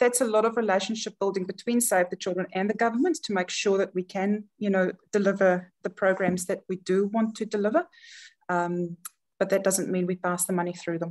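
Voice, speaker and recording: A woman with a South African accent at a fairly quick pace, medium in pitch with ordinary variation. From South Africa, Johannesburg. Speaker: charity chief executive. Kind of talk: webinar presentation. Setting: video webinar.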